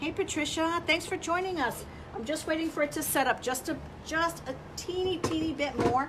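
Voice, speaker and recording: A woman's fairly quick talking comes with noticeable background noise. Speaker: furniture painting livestream host. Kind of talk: live tutorial stream. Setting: livestream video. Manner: casual, chatty; quiet while concentrating.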